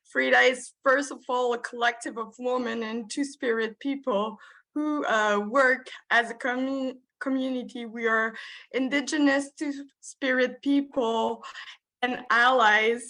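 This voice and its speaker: Against a quiet background, a woman with a Quebec accent speaks slowly-ish in a high, bright, sharp voice with fairly even intonation. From Quebec, Montreal. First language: French. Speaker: social worker. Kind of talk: conference presentation. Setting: video call. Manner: halting.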